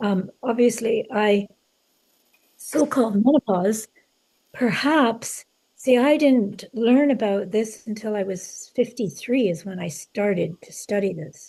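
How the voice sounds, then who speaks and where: At a fairly slow pace, a woman speaks in a dark, mellow, somewhat breathy tone at a fairly high pitch, with big swings in loudness. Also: ordinary pitch variation. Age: 70s. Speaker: author. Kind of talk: interview conversation. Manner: halting, many fillers.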